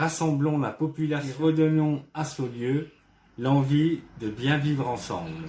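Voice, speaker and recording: A man's somewhat breathy, fairly high-pitched voice at a very slow pace. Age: 60s. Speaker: retired ambulance driver, local election candidate. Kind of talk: campaign presentation statement. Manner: formal, prepared.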